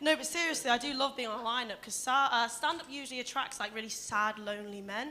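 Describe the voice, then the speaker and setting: A woman with a Leicester accent speaks at a very fast pace, with hardly any pauses and a high pitch. Noticeable background noise is present. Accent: Leicester accent, sounds flat and precise. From English Midlands, Leicester. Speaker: stand-up comedian. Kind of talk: stand-up. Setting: stage with audience.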